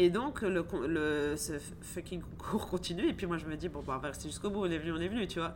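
A woman with a normal speaking voice talks at a fairly quick pace, her pitch fairly low with ordinary pitch variation. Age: 40s. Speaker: entrepreneur, organic shop owner. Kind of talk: casual chat.

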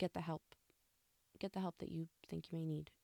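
A woman speaks with a dark, mellow tone. The sound is dry and close, with no echo. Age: 30s. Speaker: podcast host. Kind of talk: personal monologue.

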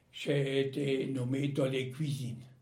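A man talks at a very slow pace in a somewhat breathy, dark, mellow tone. Audible room echo surrounds his voice. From Alsace, France. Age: 80s+. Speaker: war veteran. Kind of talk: testimony. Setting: at home. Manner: halting.

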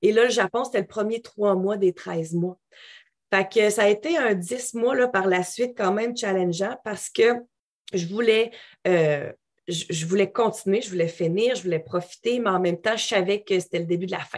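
A woman with a Quebec accent speaks at a moderate pace in a medium pitch, her pitch varying in an ordinary way against a quiet background. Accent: Québécois French. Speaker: English coach and yoga teacher. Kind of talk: interview conversation. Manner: animated.

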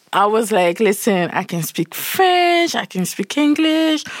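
A woman speaks fairly slowly at a fairly high pitch, her pitch swinging very widely. The sound is dry and close with no echo, though background noise is noticeable. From Saint Martin (Caribbean). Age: 20s. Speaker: entrepreneur, founder of a professional network. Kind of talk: casual interview. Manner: animated.

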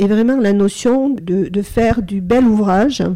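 At a very slow pace, a woman speaks with a dark, mellow tone at a medium pitch. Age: 60s. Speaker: psychotherapist and trainer. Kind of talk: interview. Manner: halting.

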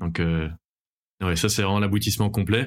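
A man's fairly low voice with fairly even intonation on a very clean recording with a silent background. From Belgium. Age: 20s. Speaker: airline pilot. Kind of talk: casual interview chat. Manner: halting, many fillers and repetitions.

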